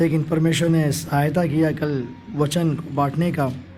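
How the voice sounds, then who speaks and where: A man's voice with audible room echo. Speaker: preacher. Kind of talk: sermon. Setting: camp hall with audience. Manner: interactive, questioning audience.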